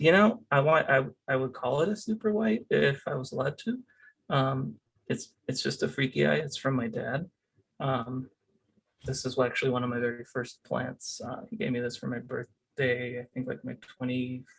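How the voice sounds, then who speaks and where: A man with a Spanish accent speaks at a moderate pace and medium pitch. His voice is somewhat breathy, with lively intonation. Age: 30s. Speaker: cactus grower. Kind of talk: casual interview. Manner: halting, many fillers.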